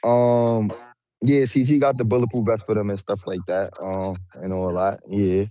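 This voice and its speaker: A man with a New York accent speaks in a dark, mellow tone, fairly low in pitch, at a moderate pace. His pitch varies in an ordinary way on a very clean recording with a silent background. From Brooklyn, New York. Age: 20s. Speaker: rapper. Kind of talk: casual interview.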